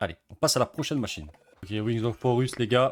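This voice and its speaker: The man talks at a medium pitch with ordinary variation in pitch. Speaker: gambling streamer. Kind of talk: casual commentary while gambling online. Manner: fast; animated.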